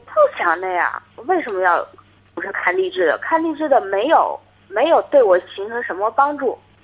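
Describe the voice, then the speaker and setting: Over noticeable background noise, a woman's pitch swings very widely. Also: fairly high pitch for a woman, moderate pace. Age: 20s. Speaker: caller. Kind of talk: call-in advice. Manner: halting. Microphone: too quiet.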